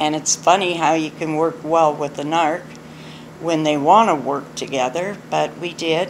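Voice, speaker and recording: Noticeable background noise sits behind speech at a moderate pace with fairly even intonation. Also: woman. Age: 60s. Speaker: abuse survivor sharing her story. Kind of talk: personal testimony.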